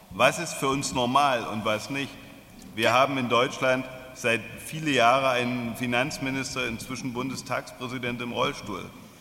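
Over noticeable background noise, a man with a medium pitch speaks at a very slow pace in a monotone, flat intonation. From Germany. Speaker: social enterprise president. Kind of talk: speech.

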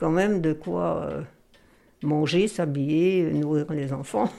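At a very slow pace, a woman speaks at a fairly low pitch with lively intonation in a very clean recording with a silent background. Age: 80s+. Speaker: former magazine reader. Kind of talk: interview.

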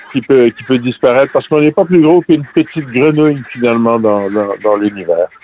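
Very wide pitch swings from a man at a fairly quick pace, with noticeable background noise. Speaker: singer-songwriter. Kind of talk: interview. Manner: halting.

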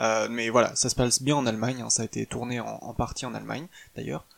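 A man at a fairly quick pace. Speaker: podcast host reviewing films. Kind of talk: solo podcast monologue. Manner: halting, many filler words.

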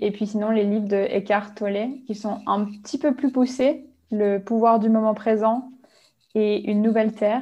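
At a moderate pace, a woman speaks with fairly high pitch and a dark, mellow tone. Her voice is somewhat breathy, and her intonation stays monotone and flat. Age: 20s. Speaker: life coach. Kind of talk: interview.

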